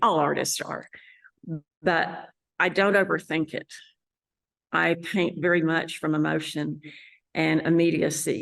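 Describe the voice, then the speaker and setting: A woman with a West Texas accent at a fairly slow pace, against a quiet background. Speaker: landscape painter. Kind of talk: interview monologue. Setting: art gallery.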